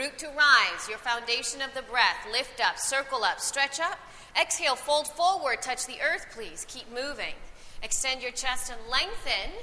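With noticeable background noise behind her, a woman talks at a moderate pace in a calm, gentle tone, her high pitch showing ordinary variation and her loudness swinging widely. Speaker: yoga teacher. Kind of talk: live guided yoga class instruction, cueing poses and breath. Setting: recorded live class with students in the room. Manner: calm, encouraging directives with gentle praise between cues.

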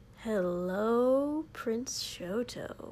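A woman puts on a character voice pitched fairly high. Background noise is clearly audible. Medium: read story. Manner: playful, eager.

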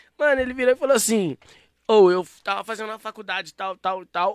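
A man speaks in a raised, projected voice, high-pitched for a man. The tone is bright and sharp, and the sound is dry and close with no echo. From Santa Luzia, Minas Gerais, Brazil. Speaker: rapper. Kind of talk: casual chat.

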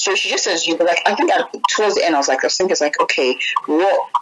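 Over noticeable background noise, a woman's words come at a very fast pace. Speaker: interviewee. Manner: casual, animated storyteller.

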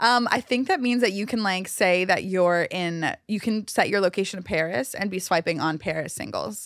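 A woman with an unremarkable speaking voice speaks at medium pitch and a moderate pace. She uses ordinary pitch variation with hardly any pauses. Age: 20s. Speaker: event organizer, singles party creator. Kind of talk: casual chat. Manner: laughs often.

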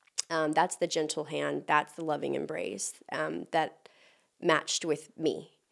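A woman with an American accent at a fairly slow pace, on a very clean recording with a silent background. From Texas. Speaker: animal rights activist and former model. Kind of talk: casual chat.

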